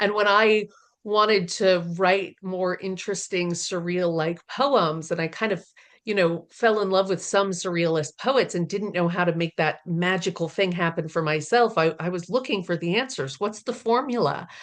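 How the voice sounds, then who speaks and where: A woman uses a plain, everyday voice at medium pitch and a moderate pace. Her pitch varies in an ordinary way over a quiet background. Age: 40s. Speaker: poetry podcast host. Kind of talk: casual chat.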